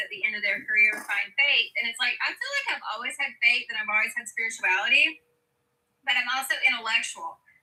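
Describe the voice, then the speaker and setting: This woman talks very fast in a high voice, her pitch varying in an ordinary way. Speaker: scientist, panel regular. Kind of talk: casual panel discussion. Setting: livestream panel.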